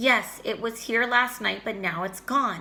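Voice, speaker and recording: A female-sounding put-on character voice with a fairly high pitch speaks at a fairly slow pace. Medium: read story.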